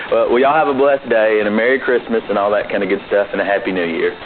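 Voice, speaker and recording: Speaking with a Southern US accent at a medium pitch, a man is heard over noticeable background noise. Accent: true Southern. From US South, Georgia. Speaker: podcaster sending an audio message. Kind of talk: recorded voicemail message.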